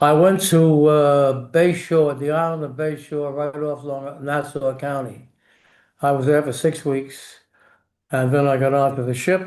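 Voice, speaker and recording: In a New York accent, a man with a fairly high pitch speaks at a fairly slow pace in a monotone, flat intonation against a quiet background. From New York City. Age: 80s+. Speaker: war veteran. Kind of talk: interview. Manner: halting.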